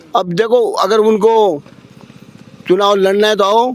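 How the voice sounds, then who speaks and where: A man speaks with a high pitch and fairly even intonation. Noticeable background noise is present. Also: very even loudness. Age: 80s+. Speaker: protester. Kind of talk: street interview.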